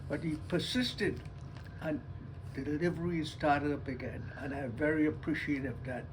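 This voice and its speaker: A man speaks in an American accent against noticeable background noise. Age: 80s+. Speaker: retiree. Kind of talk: interview answer.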